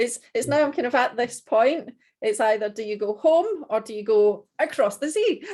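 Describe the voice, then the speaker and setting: With a strong Scottish accent, a woman talks at a moderate pace in a high pitch, her intonation lively. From Scotland. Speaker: dog trainer, business owner. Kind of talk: casual business video call. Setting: video call.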